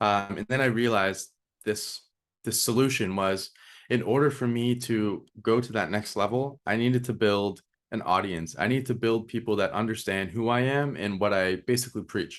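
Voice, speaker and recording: Medium pitch, ordinary pitch variation and a moderate pace in a man's unremarkable speaking voice. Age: 20s. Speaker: marketing agency owner. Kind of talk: casual interview chat.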